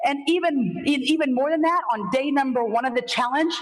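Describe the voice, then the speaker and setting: Animated in tone, a woman with a high pitch speaks with lively intonation amid audible room echo. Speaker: conference speaker, online business coach. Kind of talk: conference talk.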